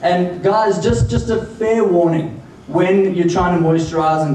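Against light background noise and audible room echo, a man talks at a fairly slow pace in a high pitch with ordinary pitch variation. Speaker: stand-up comedian. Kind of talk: stand-up comedy. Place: stage.

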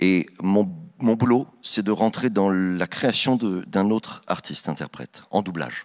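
Over a quiet background, a man with a fairly low voice speaks at a very slow pace. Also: ordinary pitch variation. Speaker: voice actor. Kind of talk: conference Q&A. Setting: stage with audience. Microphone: handheld.

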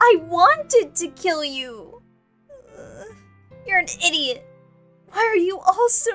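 Faint music plays in the background as a put-on character voice speaks at a very slow pace in an extremely high pitch. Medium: fan dub. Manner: bitter, self-loathing, defensive.

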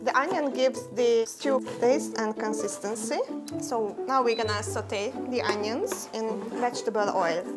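Clear music plays in the background as the speaker talks at a fairly slow pace. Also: woman. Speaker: guest. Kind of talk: tutorial. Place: kitchen.

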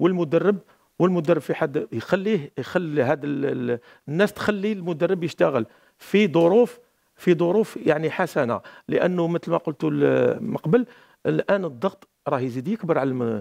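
With an Algerian accent, a man speaks at a moderate pace in a high pitch with lively intonation against a quiet background. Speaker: football coach and pundit; football coach, pundit. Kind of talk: studio football analysis panel. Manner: halting, repeats words. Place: studio. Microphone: headset.

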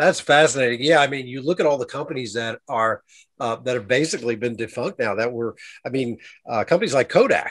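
A man rattles along at a very fast pace, his pitch moving in an ordinary way, with a quiet background behind him. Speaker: interview show host. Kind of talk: casual interview talk. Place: studio. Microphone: studio mic.

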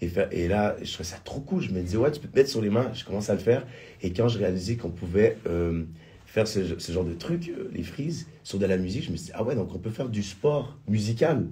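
A man with a fairly low pitch and a dark, mellow tone talks at a fairly quick pace, sounding somewhat breathy. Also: lively intonation. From Quebec. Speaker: singer and musical theatre performer; interview guest. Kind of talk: radio interview. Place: studio. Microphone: studio mic.

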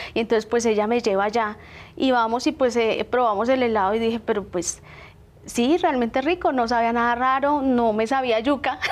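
At a moderate pace, a woman speaks in a high pitch with very even loudness. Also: ordinary pitch variation. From Bogotá, Colombia. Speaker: small business owner; guest. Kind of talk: TV interview. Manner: halting, many fillers. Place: studio. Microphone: lapel.

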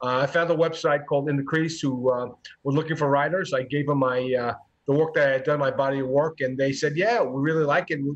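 With an ordinary speaking voice, a man talks at a fairly quick pace, keeping fairly even intonation and very even loudness. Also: fairly high pitch for a man. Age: 60s. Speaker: sports reporter. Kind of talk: casual chat.

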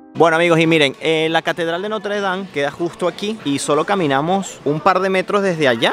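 A man with an unremarkable speaking voice talks at a fairly quick pace and fairly high pitch, with ordinary pitch variation, a dry sound with no echo, and light background noise. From Venezuela. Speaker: travel vlogger. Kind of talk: vlog narration. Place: street. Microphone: phone near.

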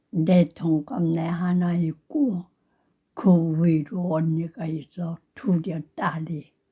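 Very slowly, a woman speaks in a dark, mellow, somewhat breathy voice at a fairly low pitch. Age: 80s+. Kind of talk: storytelling, reminiscing about childhood. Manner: slow, drowsy storytelling.

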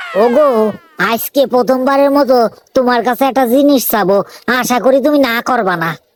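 Loud and high-pitched, a woman uses a cartoonish character voice at a moderate pace. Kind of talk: comic cartoon voice acting. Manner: loud, abusive, blunt.

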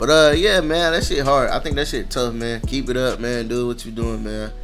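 A man talks at a moderate pace, with faint music audible behind him. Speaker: reaction video host. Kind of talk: casual reaction commentary. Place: home room.

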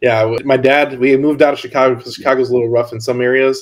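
Against a quiet background, a man with an unremarkable speaking voice talks fairly quickly at a medium pitch with fairly even intonation. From northwest Indiana. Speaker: podcast host. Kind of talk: casual interview. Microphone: video call.

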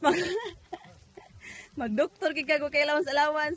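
A woman speaks at a high pitch with fairly even intonation. The sound is dry, with no echo. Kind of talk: casual vlog chat. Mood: playful, laughing. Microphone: phone near.

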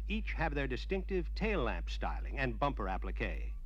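Confident in tone, a man speaks with vocal fry in a very deep, low pitch. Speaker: promotional film narrator. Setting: studio voice-over on a vintage dealer film. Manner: formal, brisk, confident announcer delivery.

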